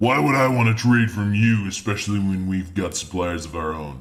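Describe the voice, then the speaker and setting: A man uses a put-on character voice at a fairly low pitch. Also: moderate pace, ordinary pitch variation. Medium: actual play. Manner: curt, scornful.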